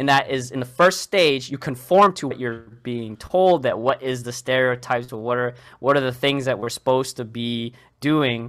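A man's unremarkable speaking voice, medium in pitch with ordinary pitch variation and a moderate pace. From Boston, Massachusetts. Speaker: clinical research professional. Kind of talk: casual interview.

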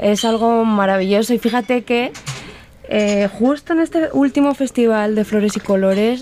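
A woman with a Spanish accent at a fairly slow pace and fairly high pitch, amid noticeable background noise. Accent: Spanish (Spain). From Spain (Castilla-La Mancha). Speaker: illustrator. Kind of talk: interview.

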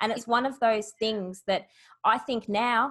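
A woman with a fairly high voice speaks in an Australian accent over a quiet background. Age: 40s. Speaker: business founder. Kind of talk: interview.

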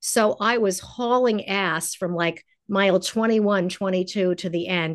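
An unremarkable speaking voice from a woman with an American accent, medium pitch, ordinary pitch variation and a moderate pace, against a quiet background. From New York. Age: 60s. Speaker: nutritionist and chef. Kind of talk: casual interview.

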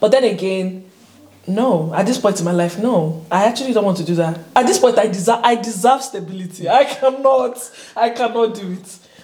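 Somewhat breathy in quality, this voice rises and falls with ordinary pitch variation. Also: woman, fairly high pitch for a woman, moderate pace. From Nigeria. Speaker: YouTuber, international student. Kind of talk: casual chat. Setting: studio. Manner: animated, laughing often.

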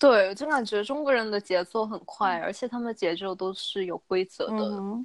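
In a plain, everyday voice, a woman of medium pitch speaks at a fairly quick pace with hardly any pauses and ordinary pitch variation, the sound dry and close with no echo over a quiet background. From China, Guangzhou. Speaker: young professional. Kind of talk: casual chat.

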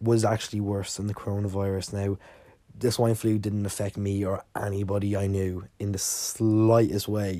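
Monotone and flat, a man with an Irish accent speaks at a fairly slow pace in a fairly low pitch and dark, mellow tone, on a very clean recording with a silent background. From Ireland. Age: 20s. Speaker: podcast host. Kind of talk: casual solo monologue. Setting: sitting alone recording.

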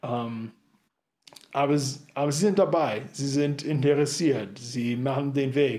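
With audible room echo, a man talks at a very slow pace with long, frequent pauses and ordinary pitch variation. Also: fairly high pitch for a man. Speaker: church planter. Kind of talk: interview. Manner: talkative.

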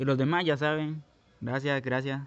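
A man speaks at a fairly high pitch. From Guatemala. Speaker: podcaster. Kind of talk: personal monologue. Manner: halting, many fillers.

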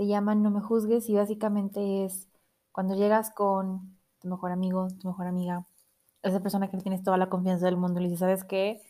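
A woman's medium-pitched voice with a dark, mellow tone, monotone, flat intonation and a fairly quick pace, in a very clean recording with a silent background. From Mexico, Monterrey. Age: 20s. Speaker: podcast host. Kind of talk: solo podcast intro monologue. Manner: casual, with many fillers.

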